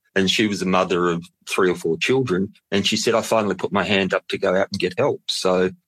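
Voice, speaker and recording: In an Australian accent, a man with a fairly low pitch and ordinary pitch variation speaks on a very clean recording with a silent background. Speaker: mental health charity executive. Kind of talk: interview.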